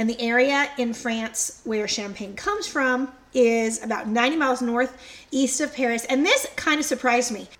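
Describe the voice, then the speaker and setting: Noticeable background noise runs behind a woman with a high pitch. She speaks at a moderate pace with ordinary pitch variation. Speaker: podcast co-host, history storyteller. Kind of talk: casual chat.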